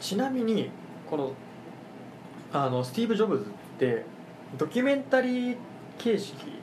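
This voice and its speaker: A man with a high pitch speaks at a moderate pace, his voice swinging very widely in pitch, with long, frequent pauses, audible room echo and noticeable background noise. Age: 20s. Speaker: podcast host. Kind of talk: casual chat.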